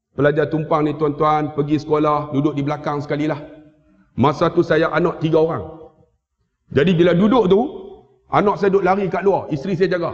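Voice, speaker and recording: An animated tone with long, frequent pauses against a quiet background. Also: man, fairly high pitch for a man, fairly quick pace. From Malaysia. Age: 50s. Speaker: Islamic teacher and preacher. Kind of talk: sermon and religious lecture with humor. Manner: loud, animated. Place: hall. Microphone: headset.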